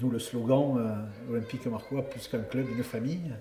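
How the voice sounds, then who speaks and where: Against noticeable background noise, a man with a southern French accent talks at a moderate pace and medium pitch, with ordinary pitch variation. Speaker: former rugby player and club president. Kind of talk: interview answer. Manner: warm, passionate.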